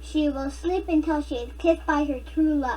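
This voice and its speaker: A put-on character voice that sounds female moves at a moderate pace over clear background noise. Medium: read story. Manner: gentle, practical.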